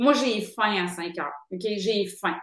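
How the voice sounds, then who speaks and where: A woman is speaking. Her pitch is fairly high. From Quebec City, Quebec. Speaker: author and screenwriter. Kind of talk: casual interview. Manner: hesitant, frequent fillers and repetitions.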